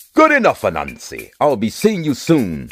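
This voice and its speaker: Over music in the background, a man uses a booming put-on character voice. He keeps a moderate pace. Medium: read story.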